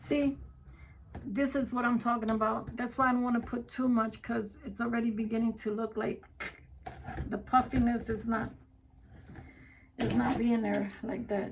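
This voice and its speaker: A moderate pace, flat monotone intonation, and long, frequent pauses. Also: woman, fairly high pitch for a woman. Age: 60s. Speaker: wreath maker, crafting vlogger. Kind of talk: casual crafting livestream chat. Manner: conversational, self-talking.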